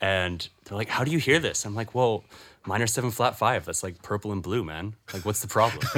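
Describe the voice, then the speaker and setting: A man talks in a normal speaking voice at a fairly quick pace. His pitch is fairly low with ordinary variation. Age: 20s. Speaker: musician. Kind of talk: casual chat.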